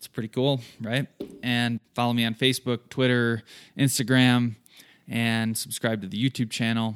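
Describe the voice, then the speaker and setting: A man at a moderate pace, in a very clean recording with a silent background and a dry, close sound with no echo. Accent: American. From southern Michigan, US. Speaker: hunting podcast host. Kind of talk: solo podcast monologue. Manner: casual, filler-heavy.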